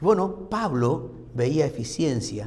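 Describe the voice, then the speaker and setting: Audible room echo hangs around a man as he talks. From Argentina, Formosa/Corrientes. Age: 60s. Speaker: pastor. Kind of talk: sermon. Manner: conversational, uses rhetorical questions.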